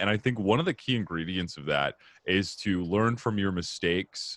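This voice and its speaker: Speaking in an ordinary speaking voice with an American accent, a man talks at a moderate pace with a fairly low pitch and ordinary pitch variation. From Arizona, US. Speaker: comedian, podcast host. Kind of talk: casual interview chat.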